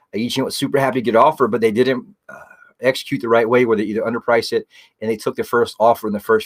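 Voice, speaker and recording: Very fast speech from a man with an American accent at a medium pitch, with a dry, close sound and no echo. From South Carolina, Myrtle Beach. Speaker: real estate agent and radio show host. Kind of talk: radio talk show interview. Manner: intense.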